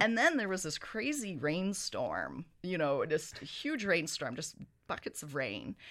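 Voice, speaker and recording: A woman with a Canadian accent at medium pitch and a fairly slow pace, vocal fry and very wide pitch swings, in a very clean recording with a silent background. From Canadian West Coast (Victoria, BC). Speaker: cinema owner. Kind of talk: interview.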